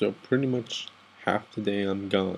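In an American accent, a man speaks with fairly even intonation. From Texas and Guatemala. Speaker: soldier, vlogger. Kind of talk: late-night personal vent. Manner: halting. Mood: down, emotional. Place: home room. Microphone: webcam.

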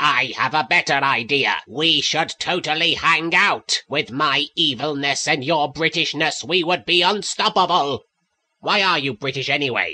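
Keeping very even loudness, a man speaks at a moderate pace in a fairly high voice. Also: ordinary pitch variation. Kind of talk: comic parody voice acting. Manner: hammy, villainous, then petulant.

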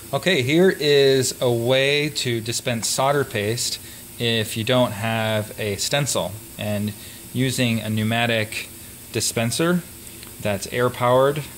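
With light background noise behind him, a man talks with ordinary pitch variation. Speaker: electronics maker demonstrating a tool. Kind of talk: tutorial. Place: workshop.

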